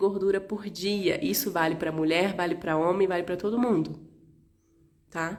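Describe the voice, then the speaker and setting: With ordinary pitch variation and a medium pitch, a woman talks at a moderate pace. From Rio de Janeiro, Brazil. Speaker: naturopath. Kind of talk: live stream health talk.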